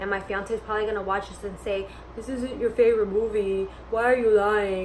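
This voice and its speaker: The speaker has an animated tone and a fairly quick pace. Noticeable background noise is present. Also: woman. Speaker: lifestyle vlogger. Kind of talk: casual Q&A vlog. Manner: loud.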